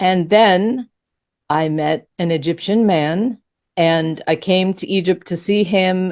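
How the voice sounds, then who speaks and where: A woman is speaking at a medium pitch. It is an ordinary speaking voice. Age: 60s. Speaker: author and spiritual teacher. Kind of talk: interview.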